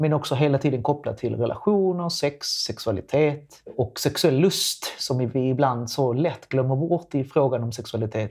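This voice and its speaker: In a normal speaking voice, a man talks at a medium pitch with ordinary pitch variation over a quiet background. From Latin America. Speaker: sex educator. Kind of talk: casual chat.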